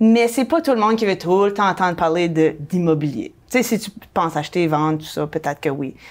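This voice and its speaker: On a very clean recording with a silent background, a woman with a fairly low pitch talks at a fairly quick pace with lively intonation. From New Brunswick, Canada. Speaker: real estate broker and blogger. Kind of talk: casual interview chat.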